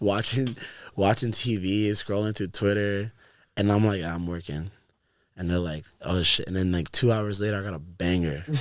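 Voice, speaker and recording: In a very clean recording with a silent background, a man with a fairly low pitch talks at a moderate pace in a normal speaking voice. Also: fairly even intonation. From Florida. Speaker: music producer and DJ. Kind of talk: casual chat. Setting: studio. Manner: casual, filler-heavy.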